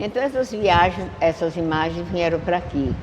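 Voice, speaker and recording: Fairly low-pitched, a woman speaks at a fairly slow pace over noticeable background noise. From Pernambuco, Brazil (Santa Maria da Boa Vista). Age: 80s+. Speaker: elderly local resident interviewee. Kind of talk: podcast interview, reminiscing.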